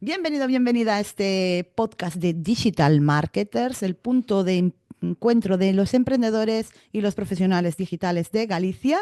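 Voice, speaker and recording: Very wide pitch swings mark this woman's voice. The sound is dry and close with no echo, on a very clean recording with a silent background. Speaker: podcast host. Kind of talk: casual podcast conversation.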